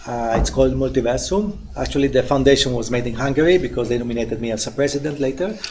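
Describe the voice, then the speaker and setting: Speaking with an Italian accent, a man talks at a very fast pace with hardly any pauses, at a medium pitch with ordinary pitch variation. Noticeable background noise and audible room echo fill the recording. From Italy. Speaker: NGO leader. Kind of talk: self-introduction in workshop.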